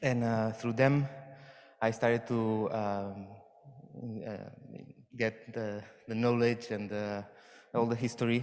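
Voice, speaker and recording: With audible room echo, a man at medium pitch talks at a very slow pace with long, frequent pauses and monotone, flat intonation. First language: Catalan or Spanish. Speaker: performer / dancer. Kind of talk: conference talk. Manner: halting, many fillers and repeats.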